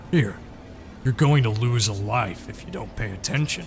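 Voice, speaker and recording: Putting on a character voice, a man talks in a raspy tone at medium pitch. He keeps a moderate pace over clear background noise. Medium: read story. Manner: smooth, paternal, coaxing.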